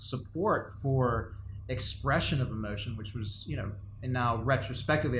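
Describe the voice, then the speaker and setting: In a room with audible echo, a somewhat breathy man speaks at a moderate pace and medium pitch with ordinary pitch variation. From Latin America, Spanish-speaking country. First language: Spanish. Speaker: company co-founder, podcast co-host. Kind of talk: casual chat. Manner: halting, many fillers and repeats.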